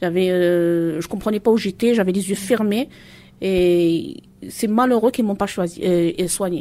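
At a fairly slow pace, a woman speaks at a medium pitch with ordinary pitch variation in a very clean recording with a silent background. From Marseille, La Castellane. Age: 40s. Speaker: mother giving testimony. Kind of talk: testimony. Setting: public event in Marseille. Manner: halting.

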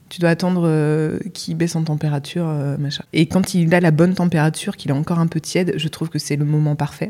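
In a very deep, low pitch and a dark, mellow tone, a woman talks at a very fast pace with hardly any pauses and monotone, flat intonation. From Normandy, France. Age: 30s. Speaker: web writer and Instagram coach. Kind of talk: casual interview chat. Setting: in person recording in Lille.

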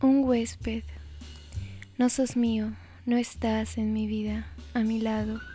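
Music plays behind the speaker. A woman talks at a very slow pace. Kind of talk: poetry reading. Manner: slow, intimate, wistful.

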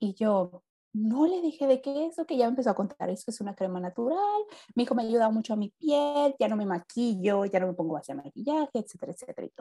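At a very fast pace, a woman with a fairly high pitch and very wide pitch swings sounds somewhat breathy and dark, mellow in tone, in a dry, close sound with no echo. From Mexico, Mexicali, Baja California. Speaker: entrepreneur. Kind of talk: casual interview. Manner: animated.

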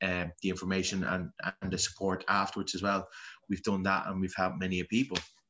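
A bright, sharp tone at a fairly quick pace, in a Dublin accent. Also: man. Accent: Dublin Irish. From Dublin, Ireland (Ballymun). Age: 30s. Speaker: Gaelic footballer. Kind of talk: personal testimony interview.

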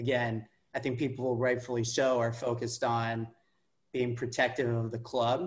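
A somewhat breathy, medium-pitched man's voice in an American accent, monotone and flat at a moderate pace. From California, Palo Alto. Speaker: football fan and former club board candidate. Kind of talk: casual interview.

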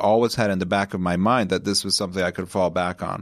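In a very clean recording with a silent background, a man speaks with an American accent at a fairly low pitch. It is a plain, everyday voice with fairly even intonation. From Connecticut, US. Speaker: winemaker. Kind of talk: casual chat.

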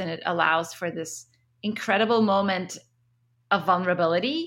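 A woman with an Arabic accent speaks at a moderate pace in a medium pitch with ordinary pitch variation. Her tone is bright and sharp, and the recording is very clean with a silent background. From Egypt (Cairo), also Kuwait. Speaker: scientist and tech CEO. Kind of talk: interview.

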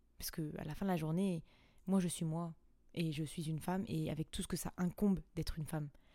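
Her voice is dark, mellow and fairly low in pitch. The woman speaks at a fairly quick pace with fairly even intonation. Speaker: podcast host. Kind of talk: casual monologue. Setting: at home on the couch. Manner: spontaneous, unscripted.

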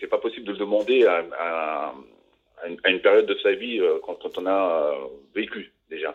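Long, frequent pauses break up a man's speech. Otherwise he talks at a moderate speed. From Savoie, France. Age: 50s. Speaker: interviewee. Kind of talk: interview. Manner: halting, repetitive.

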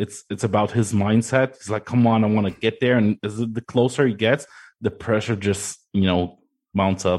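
In an unremarkable speaking voice, a man talks at a moderate pace with fairly low pitch and fairly even intonation against a quiet background. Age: 30s. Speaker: sim racing coach. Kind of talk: casual chat.

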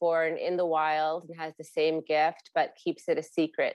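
A woman speaks in a fairly low pitch. Her pace is moderate. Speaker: novelist. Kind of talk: interview. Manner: animated.

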